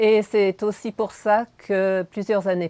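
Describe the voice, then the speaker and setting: A woman speaks with a Hungarian accent in a dark, mellow tone. The sound is dry and close, with no echo. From Montreal, Quebec. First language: Hungarian (speaking French). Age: 60s. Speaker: animal shelter owner. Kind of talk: interview. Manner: hesitant, with repetitions.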